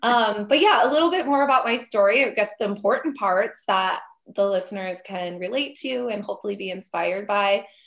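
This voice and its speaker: A woman with an American accent uses a plain, everyday voice, medium in pitch with ordinary pitch variation, moving at a fairly quick pace with hardly any pauses. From Minnesota, Minneapolis area. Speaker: entrepreneur and business coach. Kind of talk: podcast interview.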